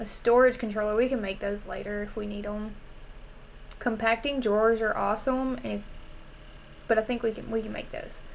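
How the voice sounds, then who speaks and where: In a Southern US accent, a woman speaks at a fairly high pitch with monotone, flat intonation and a relaxed tone. Her pauses are long and frequent. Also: fairly quick pace. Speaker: gaming streamer. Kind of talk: casual gameplay commentary.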